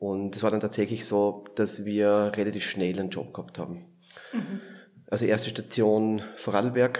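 In a Viennese accent, a man with a fairly low pitch talks in monotone, flat intonation. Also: moderate pace. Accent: Viennese Austrian dialect. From Lower Austria, near Vienna. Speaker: palliative care physician. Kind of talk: interview conversation.

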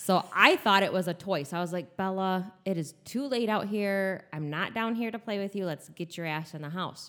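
An ordinary speaking voice at a moderate pace, with hardly any pauses and ordinary pitch variation, on a very clean recording with a silent background. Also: woman, medium pitch for a woman. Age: 40s. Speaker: host's mother. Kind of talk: casual chat. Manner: laughs often.

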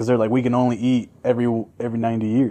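A man's dark, mellow voice at a fairly quick pace. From Mexico. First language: Spanish. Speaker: podcast host. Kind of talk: casual chat. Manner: casual, joking.

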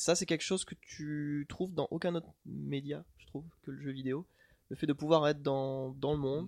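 A man with a fairly high voice and an unremarkable speaking voice talks at a moderate pace with fairly even intonation. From France, moved around (Corsica, Corrèze, Toulouse). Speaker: author. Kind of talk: casual chat.

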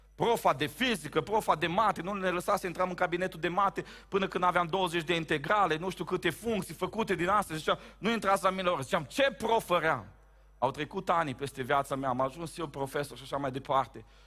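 A man with a high voice talks at a fairly quick pace, his tone animated, bright and sharp. His pitch variation is ordinary. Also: very clean recording, silent background. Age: 30s. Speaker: pastor. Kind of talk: sermon. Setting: church.

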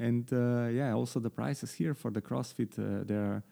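The speaker has a Slovenian accent and a dark, mellow tone, moving at a moderate pace with ordinary pitch variation. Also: man. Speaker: podcast host. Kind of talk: interview. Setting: video call.

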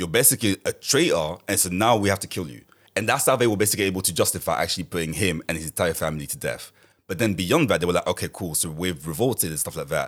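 Very deep and low, a man's voice rushes along at a very fast pace with lively intonation. His loudness swings widely. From Paris, France, of Congolese (DRC) heritage. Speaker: podcast guest. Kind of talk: casual chat.

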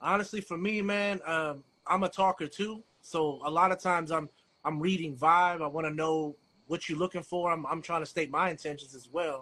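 Speaking with an American accent, a man with a high pitch and a bright, sharp tone keeps a moderate pace and fairly even intonation against a quiet background. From DMV (Washington DC area). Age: 40s. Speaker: writer, co-host. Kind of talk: casual chat.

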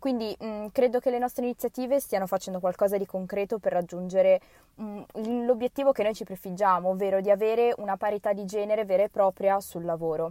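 Speaking at a fairly quick pace, a woman with a dark, mellow tone keeps her intonation fairly even, and the sound is dry and close with no echo. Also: medium pitch for a woman. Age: 20s. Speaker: university student. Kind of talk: recorded personal statement.

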